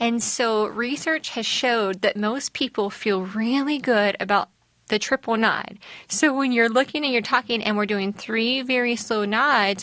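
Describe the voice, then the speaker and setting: Speaking in a Southern US accent, a woman has a bright, sharp tone and a fairly high pitch. Her pace is fairly slow, with ordinary pitch variation. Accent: Southern twang. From US South. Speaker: mental health counselor. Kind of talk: casual chat.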